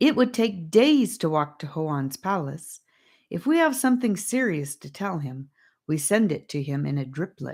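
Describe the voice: In a put-on character voice with a slightly mellow tone, the speaker goes at a fairly slow pace and makes big pitch swings. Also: woman, low pitch for a woman.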